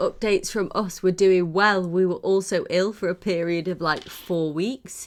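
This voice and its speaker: On a very clean recording with a silent background, a woman with a British accent speaks at a moderate pace, medium pitch and fairly even intonation in a bright, sharp tone. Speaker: podcast co-host. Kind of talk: casual chat. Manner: halting.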